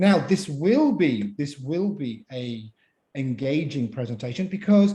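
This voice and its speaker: A man's dark, mellow tone with a British accent and lively intonation. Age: 50s. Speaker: pitch coach and mentor. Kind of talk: interactive online talk. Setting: video call. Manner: animated.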